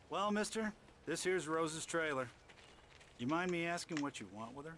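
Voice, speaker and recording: Over clear background noise, a man does a gruff, put-on character voice, fairly high in pitch with ordinary pitch variation, at a fairly quick pace. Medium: video game. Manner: gruff, impatient.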